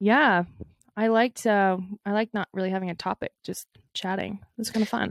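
A woman's normal speaking voice at medium pitch, fairly even in intonation and fairly quick in pace, with a dry, close sound and no echo. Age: 20s. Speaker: podcast co-host. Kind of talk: casual chat.

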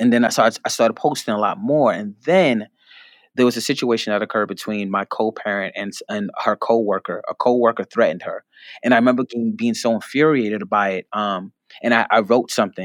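A man with an American accent and a plain, everyday voice, medium pitch, ordinary pitch variation and a fairly quick pace, on a very clean recording with a silent background and a dry, close sound with no echo. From New York, the Bronx. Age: 30s. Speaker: writer and poet. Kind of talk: interview.

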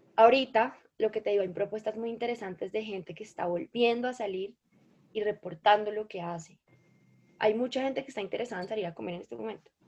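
Her fairly high voice racing at a very fast pace, a woman shows ordinary pitch variation and big swings in loudness. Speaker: food influencer and law student. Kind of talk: podcast interview.

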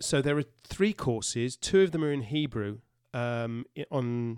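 A man has a plain, everyday voice at a medium pitch. The recording is very clean, with a silent background. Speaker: professor and podcast co-host. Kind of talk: casual chat. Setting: studio.

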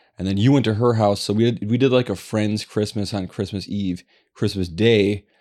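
With a plain, everyday voice, a man speaks at a moderate pace and fairly low pitch, his intonation fairly even, in a very clean recording with a silent background. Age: 40s. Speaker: podcast co-host. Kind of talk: casual chat.

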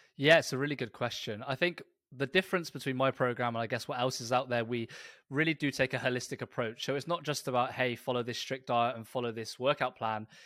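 In a British accent, a man with a medium pitch talks very fast in a bright, sharp tone with fairly even intonation, the sound dry and close with no echo on a very clean recording with a silent background. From Britain. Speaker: personal trainer and lifestyle coach. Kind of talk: interview.

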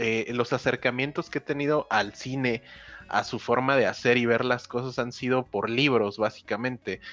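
At a moderate pace, a man speaks in a medium pitch with fairly even intonation. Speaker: podcast co-host. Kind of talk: casual chat.

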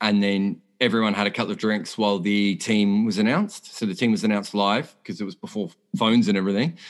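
Speaking in an Australian accent, a man with a fairly low pitch races at a very fast pace with hardly any pauses and fairly even intonation. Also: quiet background. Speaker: cricket journalist. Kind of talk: casual chat.

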